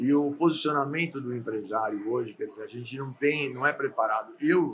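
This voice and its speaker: A man at a moderate pace. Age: 60s. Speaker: landscape gardener and business owner. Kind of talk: podcast interview. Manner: halting, with repetitions.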